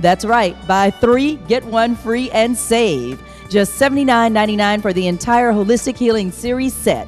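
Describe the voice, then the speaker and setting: Music plays in the background as a woman talks at a moderate pace with hardly any pauses. Her fairly high voice has an upbeat tone and ordinary pitch variation. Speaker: infomercial announcer and show host. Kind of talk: TV shopping channel promo announcer read. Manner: upbeat, salesy.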